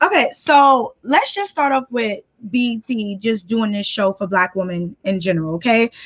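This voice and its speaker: Animated and with lively intonation, a woman with a strong New York accent speaks at fairly high pitch and a moderate pace, with a dry, close sound and no echo. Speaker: guest commentator. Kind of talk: casual chat.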